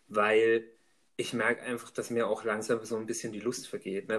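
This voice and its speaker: A man at a fairly quick pace. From Upper Franconia, Germany. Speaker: podcast co-host. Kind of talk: casual chat.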